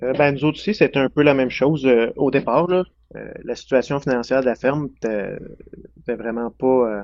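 A plain, everyday voice from a man, medium in pitch, at a fairly slow pace. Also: ordinary pitch variation. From Quebec, Centre-du-Québec near Drummondville. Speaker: dairy farmer. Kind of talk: casual interview.

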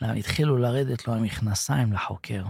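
A man with a somewhat breathy voice of medium pitch, ordinary pitch variation and a moderate pace, in a dry, close sound with no echo on a very clean recording with a silent background. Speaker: former soldier and captive. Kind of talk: interview testimony. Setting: studio.

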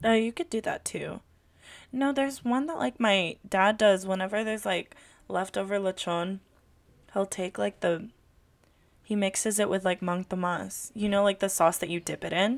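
In a General American accent, the speaker moves at a moderate pace with long, frequent pauses and ordinary pitch variation, on a very clean recording with a silent background. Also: woman, medium pitch for a woman. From California, Filipino American. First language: Tagalog. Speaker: podcast co-host. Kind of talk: casual chat. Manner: animated.

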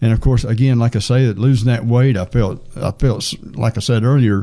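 This man talks at a fairly quick pace in a medium pitch. His tone is dark and mellow, and his intonation stays fairly even. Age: 70s. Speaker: church member and runner. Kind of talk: interview, personal testimony. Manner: halting.

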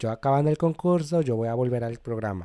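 At a fairly quick pace, a man with a medium-pitched, dark, mellow tone and ordinary pitch variation is heard in a dry, close sound with no echo on a very clean recording with a silent background. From Mexico, Cholula, Puebla. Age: 20s. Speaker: immigrant sharing life story. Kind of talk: podcast interview, personal story. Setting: studio.

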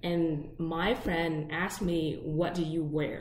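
Speaking at a fairly low pitch, a woman is heard with audible room echo around her. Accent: Vietnamese. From Vietnam. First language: Vietnamese. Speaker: podcast co-host. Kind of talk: casual chat.

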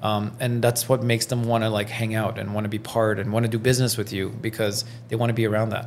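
A man of medium pitch rushes along at a very fast pace with hardly any pauses, his intonation monotone and flat. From Iran, raised in Belgium and Toronto. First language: French. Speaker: realtor. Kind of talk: casual interview.

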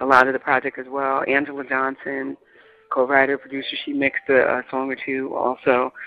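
Speaking with an American accent, a woman uses a very deep, low pitch. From New York. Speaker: singer and flutist. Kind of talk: interview.

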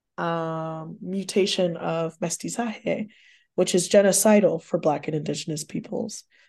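This voice has a dark, mellow tone and an American accent, with ordinary pitch variation. It moves at a fairly slow pace over a quiet background. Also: woman. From Texas. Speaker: professor. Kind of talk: interview about research. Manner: many fillers (um, uh).

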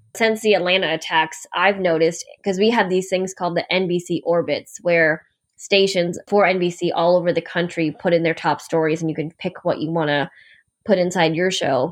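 At a moderate pace, a woman with an ordinary speaking voice talks in a fairly low pitch with fairly even intonation against a quiet background. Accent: American. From upstate New York. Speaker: TV news anchor. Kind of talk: casual interview.

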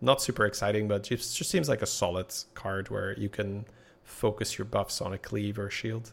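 At a moderate pace, a man talks in a fairly low, somewhat breathy voice with ordinary pitch variation. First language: not English. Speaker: podcast co-host, game streamer. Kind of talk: casual chat.

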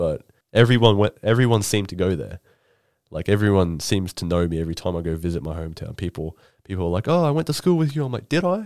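Someone with an Australian accent talks at a very fast pace with very wide pitch swings and long, frequent pauses, on a very clean recording with a silent background. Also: man. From Queensland, Australia (Rockhampton). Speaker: podcast host. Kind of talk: casual chat.

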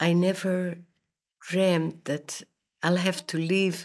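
This voice belongs to a woman. Her pitch is fairly low. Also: very clean recording, silent background. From Poland, later Siberia and Israel. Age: 80s+. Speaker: Holocaust survivor. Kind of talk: testimony. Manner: halting.

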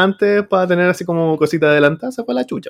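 Speech at a fairly quick pace carries lively intonation in a Chilean accent. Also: man. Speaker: teacher and podcast host. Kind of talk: casual chat.

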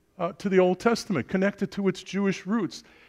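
A man with a New York accent speaks in a high pitch. The recording is very clean, with a silent background. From Brooklyn, New York. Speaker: preacher. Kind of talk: sermon.

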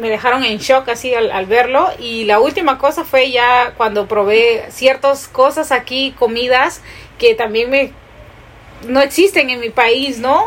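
The voice moves at a fairly slow pace with ordinary pitch variation against noticeable background noise. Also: woman. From Peru. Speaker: podcast co-host. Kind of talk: casual chat.

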